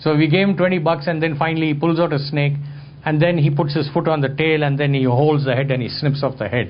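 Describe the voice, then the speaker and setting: A man with a fairly high pitch talks at a fairly quick pace in a somewhat breathy voice, with audible room echo. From India. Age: 60s. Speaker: photographer and lecturer. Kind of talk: talk to an audience, storytelling.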